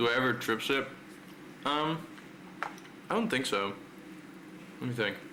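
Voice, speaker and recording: With audible room echo and noticeable background noise, a man at medium pitch speaks at a moderate pace with lively intonation, very even loudness, and long, frequent pauses. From Netherlands. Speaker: streamer. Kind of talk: casual chat. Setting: live stream.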